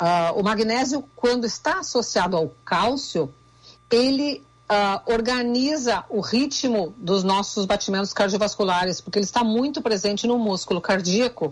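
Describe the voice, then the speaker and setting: A woman with a Rio Grande do Sul accent speaks at a fairly slow pace, her pitch fairly high and her voice somewhat breathy. Her loudness stays very even while her intonation is lively. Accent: Rio Grande do Sul border. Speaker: nutritionist. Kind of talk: radio interview.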